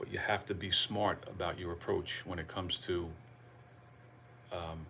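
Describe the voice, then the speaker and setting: This is a man speaking with an American accent. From New Jersey. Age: 60s. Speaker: fitness coach. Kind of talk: live stream talk. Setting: livestream. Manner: animated.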